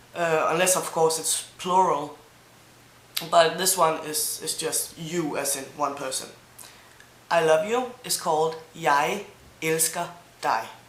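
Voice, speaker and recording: A woman with a Danish accent and a fairly low pitch speaks at a very slow pace with long, frequent pauses and ordinary pitch variation. Audible room echo and noticeable background noise surround her voice. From Denmark, Zealand. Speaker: language teacher vlogger. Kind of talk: language tutorial. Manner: mumbling a bit.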